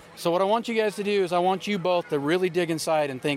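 A man's high voice at a fairly quick pace with lively intonation, over noticeable background noise. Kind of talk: casual chat. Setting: outdoors at a charity event.

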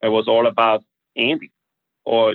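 A man with a German accent talks at a medium pitch. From Austria. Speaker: business executive. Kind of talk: interview conversation. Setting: studio. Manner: halting.

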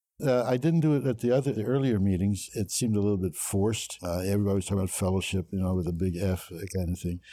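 Talking at a very fast pace, a man has a fairly low pitch and a dark, mellow tone. His pitch variation is ordinary. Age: 70s. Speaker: recovering alcoholic sharing his story. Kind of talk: interview testimony. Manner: halting.

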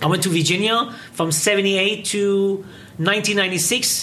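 An animated man speaks against noticeable background noise. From Iran, raised in England and US. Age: 50s. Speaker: English teacher and product distributor. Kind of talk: interview. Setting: studio.

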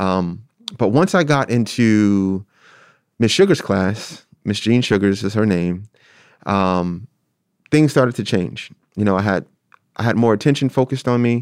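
Pausing long and often, a man with a fairly low voice and a Philadelphia accent talks at a moderate pace with ordinary pitch variation on a very clean recording with a silent background. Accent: Philadelphia American English. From South Philadelphia, US. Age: 30s. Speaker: theater artist and arts educator. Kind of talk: interview about personal story. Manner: halting, many fillers.

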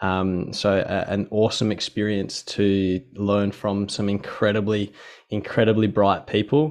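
Against a quiet background, a man with an Australian accent and fairly low pitch talks at a fairly slow pace in a monotone, flat intonation. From Western Australia, Perth Hills. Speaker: physiotherapist and researcher. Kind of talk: interview conversation.

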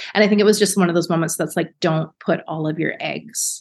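Speaking at a moderate pace with fairly even intonation, a woman has an ordinary speaking voice and a fairly low pitch. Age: 30s. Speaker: beauty business founder. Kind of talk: casual chat.

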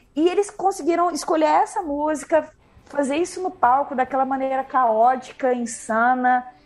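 A woman's high-pitched voice with very wide pitch swings, over music in the background. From Minas Gerais, Brazil (Uberlândia). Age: 30s. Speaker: music journalist. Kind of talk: casual chat.

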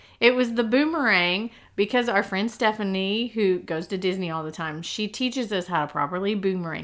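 Barely pausing, a woman speaks at a fairly quick pace in an animated tone, her medium pitch showing ordinary variation. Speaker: podcast host. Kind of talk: casual chat.

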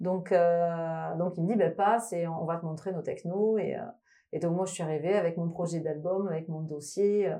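With audible room echo around her, a woman in a dark, mellow tone and fairly low pitch speaks at a moderate pace with fairly even intonation. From France, Toulouse. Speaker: electronic musician. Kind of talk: interview. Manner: halting.

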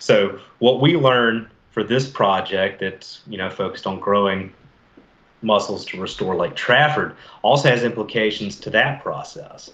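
A man with an American accent talks in an ordinary speaking voice at a medium pitch and a fairly slow pace. His loudness swings widely, and his pitch varies in an ordinary way. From US South, Mobile, Alabama. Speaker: fisheries biologist. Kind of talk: casual interview.

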